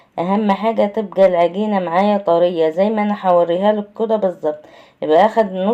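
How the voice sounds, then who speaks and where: With an Egyptian accent, a woman speaks at a moderate pace in a dark, mellow tone, her medium pitch showing ordinary variation. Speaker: cooking channel host. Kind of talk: cooking tutorial. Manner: conversational.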